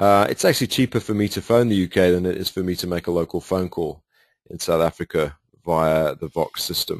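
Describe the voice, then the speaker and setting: A man with a British accent speaks at a fairly quick pace in a very deep, low pitch with ordinary pitch variation. The sound is dry and close with no echo, over a quiet background. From United Kingdom. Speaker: sales presenter. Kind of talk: webinar sales presentation. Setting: webinar.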